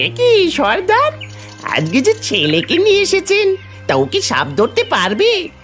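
A cartoonish character voice speaks at a moderate pace. Clear music plays in the background.

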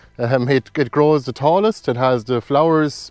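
A man's voice with a dry, echo-free sound and faint music in the background. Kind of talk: tutorial. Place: garden. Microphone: lapel.

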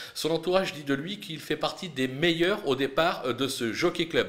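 A man is talking. His pitch varies in an ordinary way. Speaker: horse racing tipster. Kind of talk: race preview with tips and betting advice, not a live call. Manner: brisk, confident, measured tipster delivery, punchy verdicts; occasional hesitations, fillers like 'euh'.

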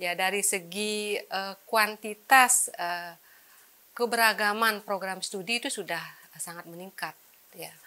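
Here a woman talks at a fairly slow pace. Her tone is bright and sharp, and her intonation fairly even. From Bali, Indonesia (Tabanan regency); Bali, Indonesia. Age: 50s. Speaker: mathematics education professor; university professor. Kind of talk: profile interview. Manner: hesitant, many fillers. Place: studio. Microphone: lapel.

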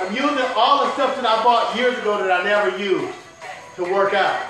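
A man at a moderate pace, with clear music playing behind him and audible echo in the room. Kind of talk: casual vlog chat. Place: garage. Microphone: camera far.

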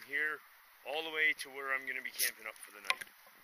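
Over loud background noise, a man's bright, sharp tone comes through with a dry sound and no echo. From Canada. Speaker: hiking vlogger; backpacker vlogger. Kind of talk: outdoor vlog narration; casual vlog chat. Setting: outdoors. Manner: casual, hesitant with many fillers. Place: forest. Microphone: phone near.

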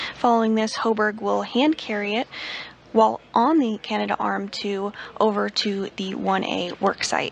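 There is noticeable background noise. A woman talks at a fairly slow pace. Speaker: NASA TV commentator. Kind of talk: live broadcast commentary. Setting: mission control. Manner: clear, measured, formal.

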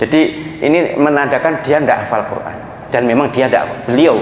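Light background noise and audible room echo surround a man's voice. He talks at a fairly quick pace with ordinary pitch variation. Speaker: religious preacher. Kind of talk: sermon. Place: hall. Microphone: handheld.

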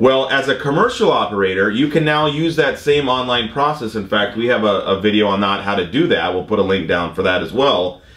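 Amid audible room echo, a man talks at a fairly quick pace with hardly any pauses. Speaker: drone instructor. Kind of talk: explanatory vlog discussion. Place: studio.

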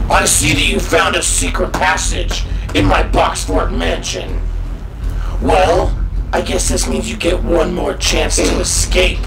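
Loud background noise fills the clip. A man talks over it at a fairly slow pace. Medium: comedy sketch. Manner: taunting, game-show host.

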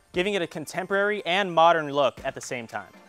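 Faint music plays behind a man who speaks with ordinary pitch variation. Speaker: real estate agent host. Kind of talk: home tour presentation. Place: garden.

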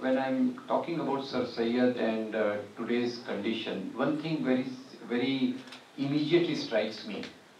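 A man talks at a fairly slow pace with fairly even intonation. Audible room echo and light background noise surround his voice. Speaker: guest lecturer. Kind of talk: public lecture. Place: hall.

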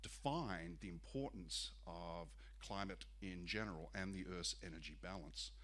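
At a moderate pace, a man speaks with a very deep, low pitch and vocal fry. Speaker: presenter. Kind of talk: lecture. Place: hall. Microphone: podium.

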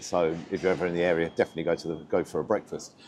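A man speaks with music playing in the background. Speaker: food reviewer. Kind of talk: casual vlog chat. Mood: upbeat, chatty. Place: street. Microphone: lapel.

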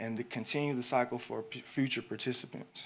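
A man with an American accent speaks at a moderate pace and medium pitch, his intonation fairly even, in an unremarkable speaking voice. The recording is very clean, with a silent background. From Houston, Texas. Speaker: graphic designer and educator, design student presenting. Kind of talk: presentation / pitch talk.

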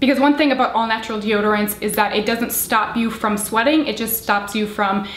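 A woman talking at a fairly quick pace amid audible room echo. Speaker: beauty product reviewer. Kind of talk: casual vlog chat. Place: home room.

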